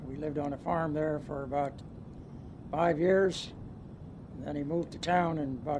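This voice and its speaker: Fairly even intonation in an American accent at a moderate pace, with long, frequent pauses and audible room echo. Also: man. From US Midwest, western Ohio. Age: 70s. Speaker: retired businessman. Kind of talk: oral history interview. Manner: halting, many fillers.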